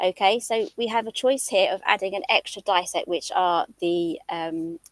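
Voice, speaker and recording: Here is a woman with a British accent and a medium pitch. The sound is dry and close, with no echo. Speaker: craft designer and live demonstrator. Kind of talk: live craft demonstration. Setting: livestream.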